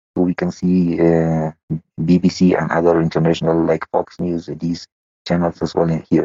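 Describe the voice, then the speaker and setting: A man with an Afghan accent, very deep and low in pitch, dark and mellow in tone, monotone and flat, at a moderate pace, in a dry, close sound with no echo. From Afghanistan. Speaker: interviewee from Afghanistan. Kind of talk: interview. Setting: phone or internet call. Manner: halting, many hesitations.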